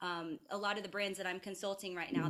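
A woman with an American accent has a plain, everyday voice at a medium pitch with ordinary pitch variation. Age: 30s. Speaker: wellness practitioner and brand consultant. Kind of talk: casual interview; guided meditation. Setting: video call.

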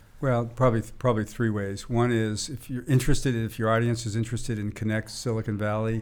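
A man with an American accent at a very fast pace, his intonation monotone and flat. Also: medium pitch for a man. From US Northeast, Boston area. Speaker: venture capitalist. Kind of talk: interview conversation.

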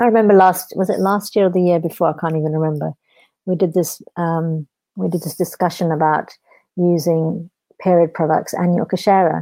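In a British accent, a woman with a fairly low voice speaks at a fairly quick pace with fairly even intonation. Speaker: charity founder. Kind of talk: interview.

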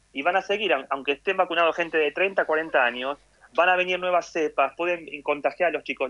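The voice has a bright, sharp tone and moves at a fairly quick pace, recorded dry and close with no echo. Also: man. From Argentina. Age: 40s. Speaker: emergency physician. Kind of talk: interview.

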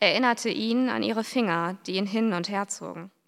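A woman has a plain, everyday voice with a fairly high pitch. She speaks at a moderate pace in a very clean recording with a silent background. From western and northern Germany. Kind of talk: reading aloud.

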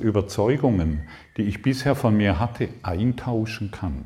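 A man speaks at a very slow pace in a dark, mellow tone that is somewhat breathy. His medium pitch has ordinary variation. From southern Germany, Lake Constance. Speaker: spiritual seminar teacher. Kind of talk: spiritual workshop talk. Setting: seminar room with live audience. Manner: animated.

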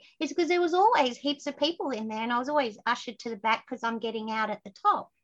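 Talking at a very fast pace, a woman with an Australian accent uses lively intonation at a high pitch. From Queensland, Australia. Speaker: success strategist and speaker. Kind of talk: casual interview chat. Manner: animated, storytelling.

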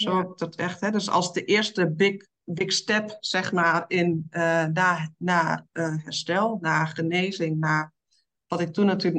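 Fairly slow delivery with fairly even intonation. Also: woman. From eastern Netherlands. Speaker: women's coach. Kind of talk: interview.

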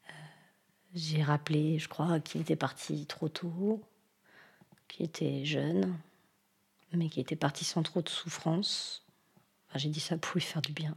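A woman with a very deep, low pitch and vocal fry speaks at a fairly slow pace, with ordinary pitch variation and long, frequent pauses. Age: 40s. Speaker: nurse. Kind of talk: testimony. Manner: hesitant, many fillers.

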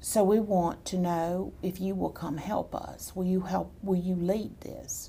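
In a monotone, flat intonation, a woman at a medium pitch speaks at a fairly slow pace with a dark, mellow tone that is somewhat breathy. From Texas. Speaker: political activist. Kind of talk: interview.

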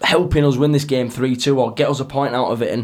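A man's plain, everyday voice, medium in pitch, at a fairly quick pace with fairly even intonation. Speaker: football fan panelist. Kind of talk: casual chat.

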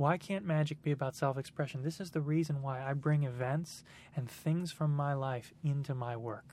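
A man speaks at a fairly quick pace in a fairly high, somewhat breathy voice. His intonation stays fairly even, and the recording is very clean with a silent background. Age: 20s. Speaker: magician. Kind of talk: interview.

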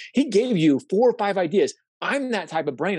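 An energetic man speaks in a high pitch with very wide pitch swings. The sound is dry and close, with no echo. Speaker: social media coach. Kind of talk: live webinar talk. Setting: video call webinar. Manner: fast, energetic.

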